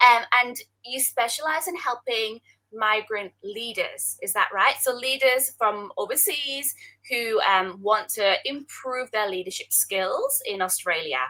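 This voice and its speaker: In a Scottish accent, the speech unfolds at a fairly slow pace with lively intonation. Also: woman, high pitch for a woman. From Scotland. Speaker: interviewer, career coach. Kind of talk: live-streamed interview.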